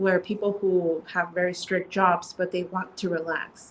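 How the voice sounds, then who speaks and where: A woman speaks at a moderate pace in an ordinary speaking voice. Her pitch sits in the medium range. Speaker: CBD store co-owner and clinical psychologist. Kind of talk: casual interview chat.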